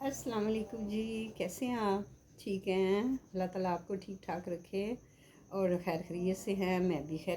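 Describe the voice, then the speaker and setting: A woman with a dark, mellow tone and a somewhat breathy sound talks fairly slowly, her intonation fairly even. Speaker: vlogger. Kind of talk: casual vlog monologue.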